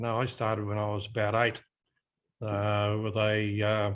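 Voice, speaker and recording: Man with an Australian accent, medium pitch, moderate pace, quiet background. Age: 70s. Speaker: hobby shop owner. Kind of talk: casual interview.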